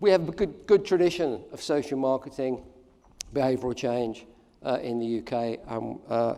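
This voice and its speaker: A man's medium-pitched voice with a dark, mellow tone, an English accent, lively intonation and big swings in loudness. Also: moderate pace. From England. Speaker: keynote speaker, social marketing professor. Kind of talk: conference keynote. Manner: hesitant, many fillers.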